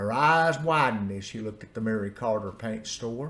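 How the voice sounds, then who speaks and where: This man talks at a moderate pace with an Appalachian accent. There is noticeable background noise. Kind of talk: personal storytelling.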